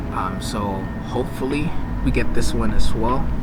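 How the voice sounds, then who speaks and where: A man with a Filipino accent talks over noticeable background noise, with audible room echo. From Philippines, Bicol. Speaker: PhD student vlogger. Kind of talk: casual vlog. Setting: outdoors on campus courtyard. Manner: frequent fillers, code-switching.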